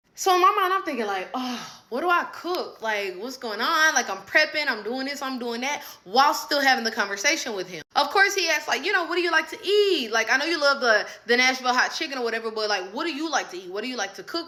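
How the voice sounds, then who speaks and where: A raised, projected voice rushes along at a very fast pace with hardly any pauses and very wide pitch swings. Noticeable background noise sits behind it. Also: woman. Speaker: storyteller. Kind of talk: casual storytelling. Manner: animated.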